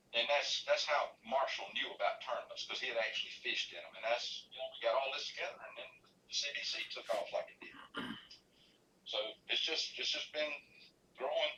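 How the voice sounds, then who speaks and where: Talking at a fairly quick pace in a Carolinas accent, a man leaves long, frequent pauses. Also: big swings in loudness. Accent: Southern US (Carolinas). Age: 60s. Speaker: fishing tournament organizer. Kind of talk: casual interview. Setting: live stream show.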